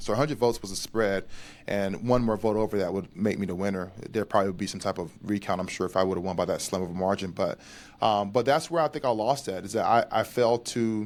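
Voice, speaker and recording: Talking at a very fast pace, a man with an American accent and a fairly low pitch comes through on a very clean recording against a silent background. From North Carolina. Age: 30s. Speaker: veteran advocate. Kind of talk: interview.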